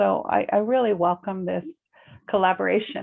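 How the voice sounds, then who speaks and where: Moderate-paced speech from a woman with an American accent. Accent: American, noticeable in Ireland. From United States. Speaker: complementary therapy practitioner. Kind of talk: interview chat.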